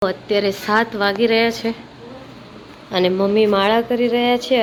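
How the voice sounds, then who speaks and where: A woman at medium pitch with fairly even intonation, over noticeable background noise. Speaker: family vlogger. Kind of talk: casual vlog narration.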